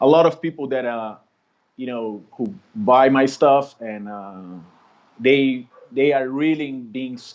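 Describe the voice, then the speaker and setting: Speaking with a Brazilian accent, a man at medium pitch keeps a fairly slow pace. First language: Portuguese. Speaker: street artist. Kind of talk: interview conversation. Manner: halting.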